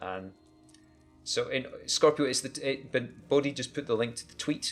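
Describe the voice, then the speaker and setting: A Scottish accent over music in the background. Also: man. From Scotland. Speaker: podcast co-host. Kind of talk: livestream podcast chat. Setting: live stream.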